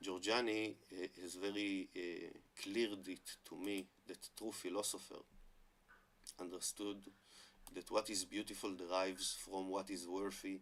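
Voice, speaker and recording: Using an Israeli accent, a man speaks at a fairly low pitch and fairly slow pace, monotone and flat, with long, frequent pauses. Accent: Hebrew-accented English. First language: Hebrew. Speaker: online commentator on Hebrew and religion. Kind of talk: monologue talk to camera. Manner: halting with many fillers.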